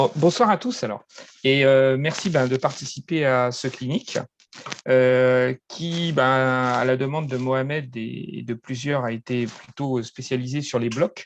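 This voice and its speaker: The speech unfolds at a very slow pace with fairly even intonation. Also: man, medium pitch for a man. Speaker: football referee instructor. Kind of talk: online training session. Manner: halting, many fillers.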